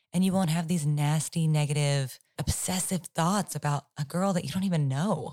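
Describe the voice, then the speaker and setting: Very deep and low, a woman's voice carries a dark, mellow tone that is somewhat breathy. She keeps her loudness very even and barely pauses. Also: fairly even intonation, moderate pace. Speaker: podcast co-host. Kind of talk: casual chat.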